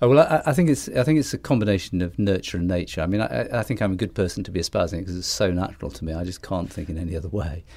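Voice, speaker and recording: A man's very deep, low voice with a dark, mellow tone and very wide pitch swings, very fast with hardly any pauses, on a very clean recording with a silent background. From northeast England. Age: 50s. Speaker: ad agency founder. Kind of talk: casual interview. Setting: studio. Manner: hesitant, repeats words.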